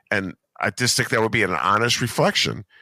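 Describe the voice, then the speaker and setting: A man with vocal fry and a bright, sharp tone, animated, on a very clean recording with a silent background and a dry, close sound with no echo. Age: 60s. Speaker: podcast host. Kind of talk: casual political chat.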